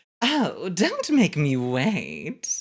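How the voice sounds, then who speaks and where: The put-on character voice sits at a middle pitch. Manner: teasing, sultry.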